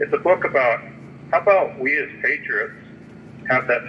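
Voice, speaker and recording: A man talks with noticeable background noise in the recording. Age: 60s. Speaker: army veteran and author calling from jail. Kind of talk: phone interview. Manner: halting with repetitions.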